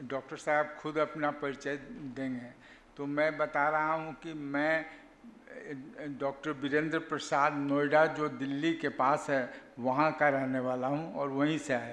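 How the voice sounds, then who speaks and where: A man talks in a flat, monotone way at a fairly high pitch. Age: 80s+. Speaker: doctor and yogi giving a talk. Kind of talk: talk at a health camp. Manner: halting.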